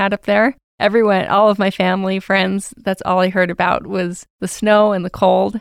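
With an American accent, a woman of medium pitch speaks in a monotone, flat way. The recording is very clean with a silent background and a dry, close sound with no echo. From Salt Lake City, Utah. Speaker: executive producer of university TV. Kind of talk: casual chat.

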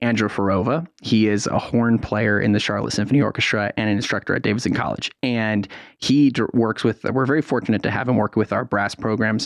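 A man with an ordinary speaking voice talks at a fairly quick pace, medium in pitch, with fairly even intonation and hardly any pauses. The sound is dry and close with no echo, over a quiet background. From San Francisco Bay Area, California. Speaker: youth orchestra executive director. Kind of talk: radio interview.

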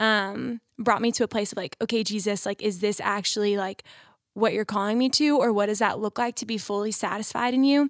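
This woman has an unremarkable speaking voice, a fairly high pitch and an American accent, talking at a fairly quick pace with fairly even intonation. The recording is very clean with a silent background and a dry, close sound with no echo. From Texas. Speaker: nursing student. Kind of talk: casual chat.

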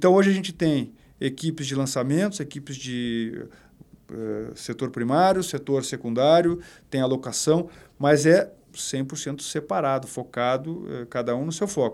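This very clean recording, with a silent background, has a man speaking at a moderate pace with fairly high pitch and ordinary pitch variation. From southern Brazil, Porto Alegre. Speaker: real estate company director. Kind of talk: podcast interview. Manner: halting, many repetitions.

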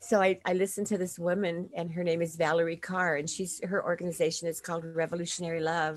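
A woman with an American accent, very fast pace, fairly low pitch and monotone, flat intonation. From South Dakota, US (Lakota). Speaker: podcast host. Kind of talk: casual interview.

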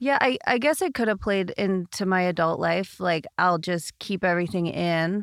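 A woman with a plain, everyday voice speaks at a medium pitch and moderate pace, with ordinary pitch variation, very even loudness and hardly any pauses. The recording is very clean and dry, close with no echo, against a silent background. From Canada. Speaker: personal trainer. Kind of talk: casual interview.

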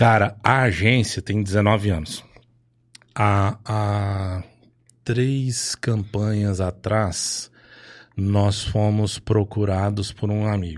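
Speaking at a very slow pace with long, frequent pauses, a man with a São Paulo interior accent uses a fairly low pitch and fairly even intonation on a very clean recording with a silent background. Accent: Franca (São Paulo interior). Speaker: advertising and political marketing agency owner, volunteer group founder. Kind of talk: casual chat.

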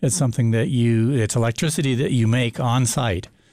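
In a very clean recording with a silent background, a man with an American accent speaks at a moderate pace, his medium pitch, dark, mellow tone and ordinary pitch variation all clear. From Montana. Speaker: solar energy business owner. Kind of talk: radio interview. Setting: radio studio. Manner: hesitant, many fillers.

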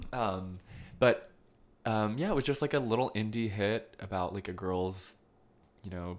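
A man is speaking. His pace is moderate. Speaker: film podcast host. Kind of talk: casual chat.

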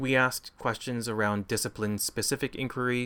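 With a western Canadian accent, a man speaks at a moderate pace in a bright, sharp tone, keeping his intonation fairly even. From Campbell River, British Columbia, Canada. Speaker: theatre alliance leader. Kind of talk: interview. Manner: halting, many fillers.

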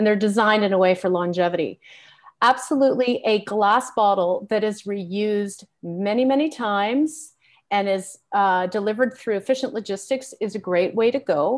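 A woman's normal speaking voice, fairly high in pitch, with ordinary pitch variation and a moderate pace. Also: very even loudness. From Canada. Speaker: nonprofit executive. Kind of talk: panel discussion. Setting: video call.

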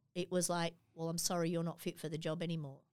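The speaker is a woman with a fairly low pitch. She talks in an Australian accent. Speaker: charity executive. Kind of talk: interview.

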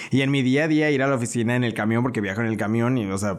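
The speech runs at a very fast pace, with audible room echo. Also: man. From León, Guanajuato, Mexico. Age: 20s. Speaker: social media influencer. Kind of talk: casual interview.

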